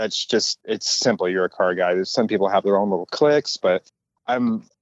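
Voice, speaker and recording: At a moderate pace, a man speaks in a fairly low pitch with an ordinary speaking voice. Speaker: toy car customizer. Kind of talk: casual interview.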